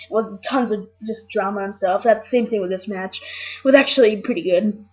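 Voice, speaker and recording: A woman talks in a fairly high pitch with ordinary pitch variation. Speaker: wrestling show reviewer. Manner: excited.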